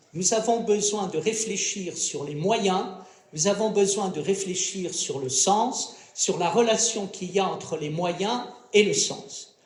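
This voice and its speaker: Speaking at a very slow pace, a man uses a high pitch with ordinary pitch variation. Noticeable background noise and audible room echo fill the recording. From France. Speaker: philosopher, round-table panelist. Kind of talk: round-table talk. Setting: stage with audience at a festival. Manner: formal.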